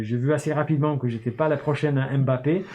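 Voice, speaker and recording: A man with an English accent, medium pitch, moderate pace and fairly even intonation. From northern England, Newcastle. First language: English (speaking French). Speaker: start-up founder and CEO. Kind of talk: interview. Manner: hesitant, many fillers.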